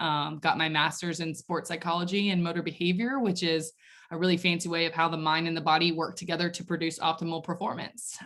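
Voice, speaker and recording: Talking at a very fast pace with a slight Southern US accent, a woman with a fairly low pitch is heard on a very clean recording with a silent background. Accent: slight Southern twang. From Nashville, Tennessee, US South. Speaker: mental performance coach. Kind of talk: podcast interview. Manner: animated.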